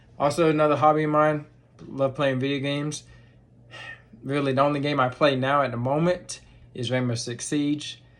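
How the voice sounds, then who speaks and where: A monotone, flat delivery with a Southern US accent and long, frequent pauses. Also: man, moderate pace. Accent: Southern US accent (remarked on). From North Carolina, Lumberton. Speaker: vlogger. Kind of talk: casual video diary. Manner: halting, many fillers.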